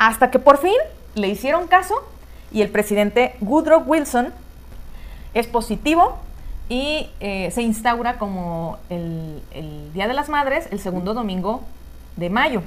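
Over noticeable background noise, a woman with a fairly high pitch talks very slowly with long, frequent pauses, very wide pitch swings and big swings in loudness. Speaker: podcast co-host. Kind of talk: casual chat.

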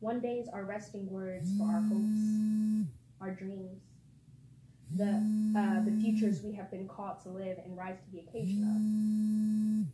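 A woman with a normal speaking voice talks at a fairly slow pace and medium pitch. Her intonation is fairly even, but her loudness swings widely. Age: 20s. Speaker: spoken word poet. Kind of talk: poetry reading.

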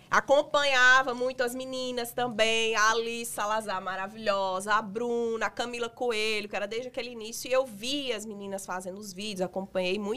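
A woman's bright, sharp voice, fairly high in pitch, with a northeastern Brazilian accent, at a moderate pace with hardly any pauses. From Brazilian Northeast, Rio Grande do Norte. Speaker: makeup artist and influencer. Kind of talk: interview. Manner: animated.

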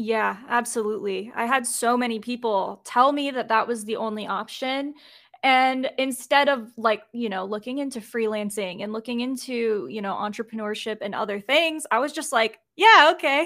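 A woman with an American accent speaks at a moderate pace in a high voice with a bright, sharp tone and ordinary pitch variation. She leaves hardly any pauses, and the recording is very clean with a silent background. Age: 20s. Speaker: graphic designer. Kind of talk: casual chat.

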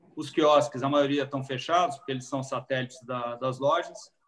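A man speaks with a fairly high pitch. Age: 50s. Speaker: restaurant franchise executive. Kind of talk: live-stream talk. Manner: halting.

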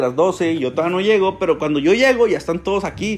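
The speaker talks at a very fast pace. The voice carries a Mexican accent. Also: man. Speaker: solo podcaster. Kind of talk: casual monologue. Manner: hesitant, with many fillers and repetitions.

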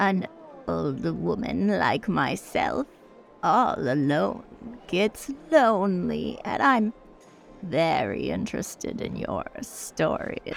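A woman talks at a very slow pace while clear music plays behind her. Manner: insistent, flirtatious, imperious.

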